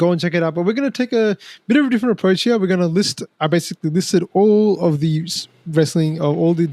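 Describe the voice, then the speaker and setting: Speaking very fast with an Australian accent, a man shows ordinary pitch variation in a dry, close sound with no echo. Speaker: wrestling podcast host. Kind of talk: casual chat. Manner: animated.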